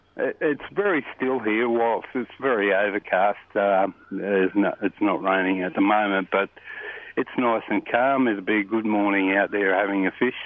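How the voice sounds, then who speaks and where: The speaker has an Australian accent and talks at a moderate pace with fairly even intonation and very even loudness, over noticeable background noise. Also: man, fairly low pitch for a man. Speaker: bait and tackle shop owner. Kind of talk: casual chat, fishing report. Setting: phone call.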